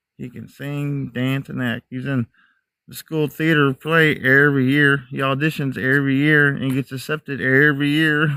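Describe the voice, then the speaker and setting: A man with an American accent, fairly high-pitched, at a moderate pace, in a bright, sharp tone with monotone, flat intonation and big swings in loudness, dry and close with no echo on a very clean recording with a silent background. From mixed US (Army family; Texas to New Hampshire). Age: 40s. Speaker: outdoor live streamer, Bigfoot hunter. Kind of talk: casual live-stream chat.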